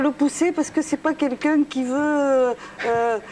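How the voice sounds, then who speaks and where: Speaking at a fairly slow pace with a southern French accent, a woman uses a high voice over noticeable background noise. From southern France, Toulouse and Ariège. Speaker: palm reader. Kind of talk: TV talk show chat.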